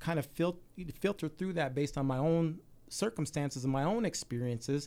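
A man with a plain, everyday voice and an American accent speaks at a fairly quick pace, fairly high in pitch with ordinary pitch variation. The recording is very clean, the background silent. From Salt Lake City, Utah. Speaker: community activist, military veteran. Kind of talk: radio interview.

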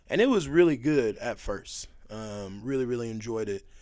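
At a moderate pace, an ordinary speaking voice talks with an American accent. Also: man. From Texas. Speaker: guest. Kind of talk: casual chat.

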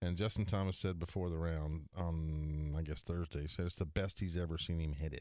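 A man speaks at a moderate pace in a very deep, low voice with a dark, mellow tone and fairly even intonation, on a very clean recording with a silent background. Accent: American. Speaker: professional golfer and radio co-host. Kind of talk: sports radio talk show.

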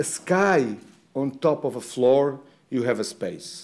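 A man with a Portuguese accent speaks in a fairly high pitch with a dark, mellow tone and ordinary pitch variation. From Portugal. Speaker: architect giving a lecture. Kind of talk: lecture. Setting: lecture hall with slides.

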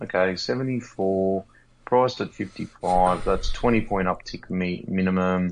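An Australian accent against a quiet background. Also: man. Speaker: fantasy football podcast co-host. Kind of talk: casual chat. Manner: animated.

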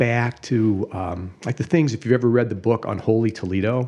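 A man with a Midwestern American accent talks at a moderate pace. His medium-pitched voice has a dark, mellow tone. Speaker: attorney and drummer. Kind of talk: casual chat.

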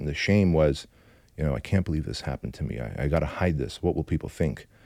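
A man with a very deep, low voice, a dark, mellow tone and vocal fry speaks at a very fast pace with ordinary pitch variation on a very clean recording with a silent background. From Armenian immigrant from a communist country. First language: Armenian. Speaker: entrepreneur and business coach. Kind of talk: interview storytelling. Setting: studio.

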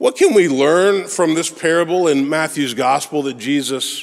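Fairly slow delivery in a normal speaking voice, pitch varying an ordinary amount. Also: man. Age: 40s. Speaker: pastor. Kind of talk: sermon.

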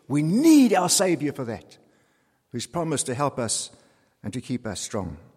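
At a moderate pace with long, frequent pauses, a man speaks in a somewhat breathy voice, pitched fairly high with very wide swings. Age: 70s. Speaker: pastor. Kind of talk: sermon.

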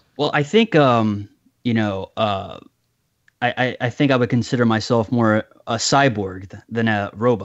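A man speaks at a fairly slow pace, his pitch medium and his intonation fairly even. It is an unremarkable speaking voice. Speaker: horror storyteller guest. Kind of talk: interview.

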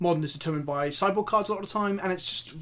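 A man speaks with an English accent. His pitch is high. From England. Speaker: content creator and co-host. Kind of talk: casual chat. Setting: video podcast.

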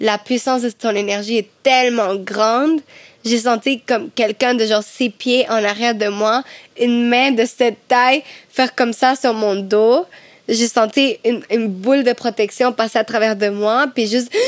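A woman's fairly high-pitched, unremarkable speaking voice, fairly slow, with fairly even intonation. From Cuba. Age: 20s. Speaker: medium and singer. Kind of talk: casual chat.

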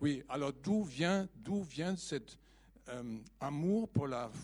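A man with a German accent and lively intonation. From Germany. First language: German (speaking French). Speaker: audience member. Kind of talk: audience question.

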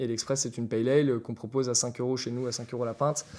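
The recording is very clean and its background silent. Intonation holds fairly even throughout. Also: man. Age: 20s. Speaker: bar manager. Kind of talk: interview. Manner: halting.

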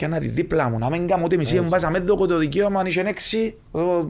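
With a Cypriot accent, a man speaks in a high voice and varies his pitch in an ordinary way. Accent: Cypriot Greek. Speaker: retired footballer. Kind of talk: casual interview.

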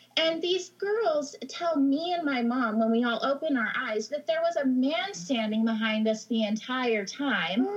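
A woman's high-pitched voice with very wide pitch swings, very even loudness and hardly any pauses at a fairly slow pace, against noticeable background noise. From Idaho. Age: 30s. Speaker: podcast listener sharing paranormal stories. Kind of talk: casual chat.

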